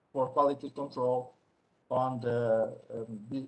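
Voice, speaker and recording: A somewhat breathy man's voice at medium pitch, with monotone, flat intonation. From Portugal. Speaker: statistician presenter. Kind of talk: conference presentation. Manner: quiet; halting.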